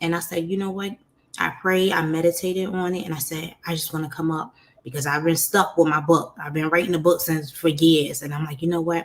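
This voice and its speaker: Talking at a fairly quick pace in an animated tone, a woman with a New York accent keeps a fairly low pitch. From New York, Brooklyn. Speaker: podcast host, life coach. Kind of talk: interview, personal story.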